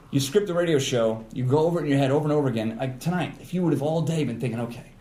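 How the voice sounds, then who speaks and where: A man talks at a very fast pace, and room echo is audible. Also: fairly high pitch for a man, ordinary pitch variation. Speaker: radio personality. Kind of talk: casual chat.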